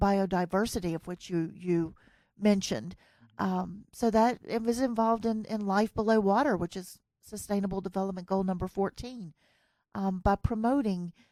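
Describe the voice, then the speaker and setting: With a Southern US accent, a woman speaks in a dark, mellow tone at a moderate pace with fairly even intonation, captured in a very clean recording with a silent background and a dry, close sound with no echo. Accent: US Southern, lasting. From US South. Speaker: podcast host. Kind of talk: interview. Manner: clear; hesitant fillers.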